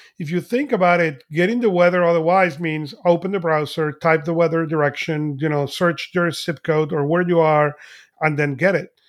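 A man with a high pitch, a Spanish accent and fairly even intonation. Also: moderate pace. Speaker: podcast host. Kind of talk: podcast discussion.

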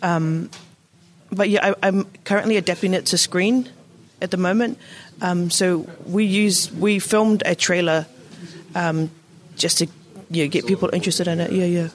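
With a New Zealand accent, a woman speaks at a medium pitch and very even loudness, leaving long, frequent pauses. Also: moderate pace. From New Zealand, South Auckland. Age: young. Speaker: playwright and director. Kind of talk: interview.

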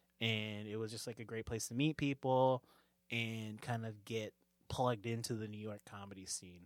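A man's unremarkable speaking voice at medium pitch, fairly even in intonation and moderate in pace, with a dry, close sound, no echo and a very clean recording over a silent background. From US West Coast, suburbs of Sacramento, California. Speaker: comedian. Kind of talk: casual chat.

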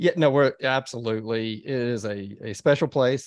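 Speaking with an American accent, a man shows ordinary pitch variation. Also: quiet background. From Texas, Dallas. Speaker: lawyer. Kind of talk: interview. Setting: studio. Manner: halting.

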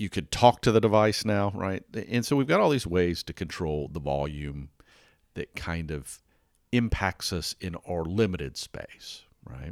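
A man with a very deep, low voice talks fairly slowly with lively intonation. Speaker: weather podcast host. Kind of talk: solo podcast monologue. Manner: casual, conversational.

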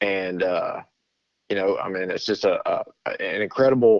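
A man speaks with a Texan accent. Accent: Texan Southern US. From Texas. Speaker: pastor. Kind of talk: casual interview. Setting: phone call.

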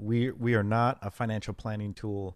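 A man speaks at a moderate pace in a medium pitch, with an unremarkable speaking voice. The recording is very clean, with a silent background. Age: 50s. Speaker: data analytics executive. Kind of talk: interview.

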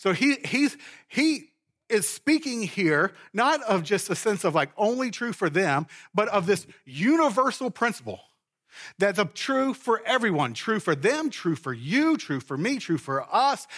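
A man with an American accent talks at a fairly slow pace. His pitch is high and swings very widely. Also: very clean recording, silent background. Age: 40s. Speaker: pastor. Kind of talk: sermon. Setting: church.

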